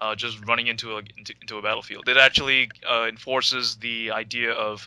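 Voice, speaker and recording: Speaking with a New York accent, a man talks at a fairly quick pace and a medium pitch with monotone, flat intonation. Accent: New York American. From New York City. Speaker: podcast co-host. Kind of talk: casual chat.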